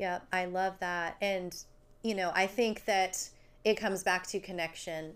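In a very clean recording with a silent background, a woman with an American accent speaks in a monotone, flat intonation. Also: medium pitch for a woman. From New Jersey. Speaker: podcast host and farmer. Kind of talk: casual chat. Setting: studio.

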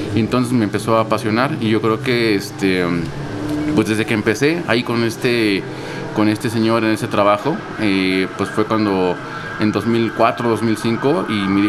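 A man speaks with a Mexico City accent and ordinary pitch variation over noticeable background noise. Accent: Mexico City Spanish (chilango). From Mexico City, Coyoacán. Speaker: coffee shop owner and roaster. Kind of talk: interview. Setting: coffee shop.

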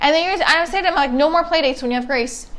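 Over noticeable background noise, a woman with a New Jersey accent talks at a very fast pace in an animated tone with lively intonation. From New Jersey, inner city. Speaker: comedian. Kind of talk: casual chat.

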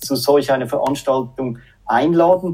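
This man's voice has a dark, mellow tone. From Switzerland, Zürich. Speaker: sales manager. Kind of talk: casual interview. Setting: video call.

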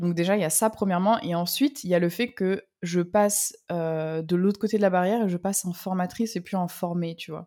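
Fairly quick delivery with hardly any pauses, a dark, mellow tone, and a very clean recording over a silent background. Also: woman, medium pitch for a woman, ordinary pitch variation. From southern France. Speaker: copywriter and ghostwriter. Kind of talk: casual interview.

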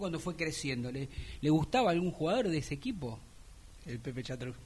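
A man with lively intonation. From Buenos Aires, Argentina. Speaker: sports radio host. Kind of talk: casual sports talk radio. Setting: radio studio.

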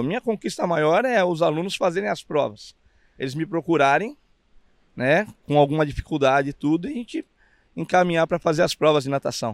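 A normal speaking voice at a fairly quick pace with lively intonation, dry and close with no echo, in a very clean recording with a silent background. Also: man, fairly high pitch for a man. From Brazil, São Paulo (east zone). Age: 50s. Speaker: swimming coach. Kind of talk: casual interview. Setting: outdoors on the beach.

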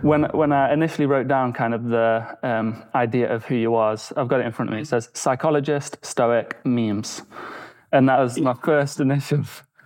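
At a moderate pace, a man talks in an ordinary speaking voice with medium pitch. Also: fairly even intonation. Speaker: podcast host. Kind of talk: casual interview conversation.

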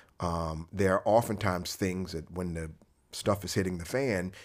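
A very deep, low-pitched man with an American accent and vocal fry, lively in intonation at a moderate pace, in a very clean recording with a silent background. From Florida. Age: 50s. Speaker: vascular surgeon. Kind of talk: casual interview.

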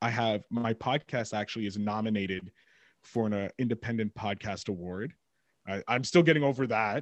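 A man speaks in a Montreal accent at a fairly low pitch, with ordinary pitch variation and a moderate pace. The sound is dry and close with no echo, over a quiet background. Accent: Montreal English (Canadian). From Montreal, Quebec, Canada. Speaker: podcast host and producer. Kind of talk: casual interview chat. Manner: animated, many fillers and self-interruptions.

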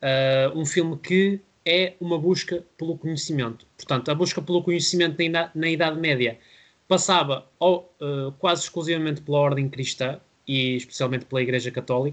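An unremarkable speaking voice from a man, fairly high in pitch, at a moderate pace with fairly even intonation, over a quiet background. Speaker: film podcast host. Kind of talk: casual film review discussion.

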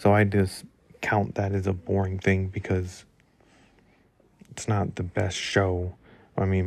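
This man's voice sits very deep and low, moving at a fairly slow pace with monotone, flat intonation. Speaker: solo podcast host. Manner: monotone, flat, little energy.

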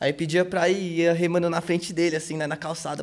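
Over noticeable background noise, a man talks very fast in a fairly high voice. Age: 20s. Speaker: skateboarder. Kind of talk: interview. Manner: casual slangy speech.

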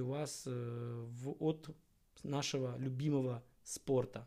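A man's fairly high, somewhat breathy voice with a dark, mellow tone and fairly even intonation. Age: 30s. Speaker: podcast host and amateur endurance athlete. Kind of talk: solo podcast monologue on fitness. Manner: casual, with filler hesitations.

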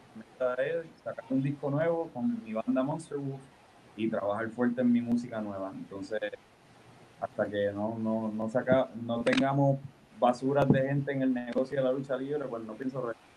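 At a medium pitch and moderate speed, a man talks with fairly level intonation. Background noise is clearly audible. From Puerto Rico. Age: 30s. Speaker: professional wrestler. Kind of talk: interview. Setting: video call.

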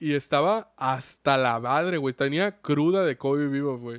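A man at fairly high pitch and a very slow pace, with a dry, close sound, no echo, and a quiet background. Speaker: anime podcast host. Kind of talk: casual chat.

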